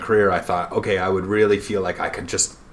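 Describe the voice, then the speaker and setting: A man talks fairly quickly in a fairly low pitch, with noticeable background noise behind him. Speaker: school principal. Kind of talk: casual interview. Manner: playful.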